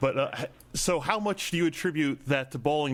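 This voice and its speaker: At a fairly quick pace, a man talks in a normal speaking voice with lively intonation. The recording is very clean, the background silent. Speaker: comics podcast host. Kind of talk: interviewer questions.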